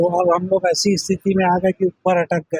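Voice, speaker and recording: A man's voice with a high pitch. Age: 70s. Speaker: local resident interviewee. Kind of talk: news interview.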